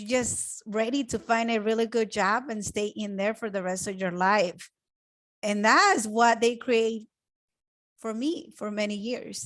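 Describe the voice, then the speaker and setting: A woman with a Spanish accent talks at a fairly slow pace in a fairly high pitch over a quiet background. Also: ordinary pitch variation. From Mexico. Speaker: web designer and real estate investor. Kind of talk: online training presentation. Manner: animated.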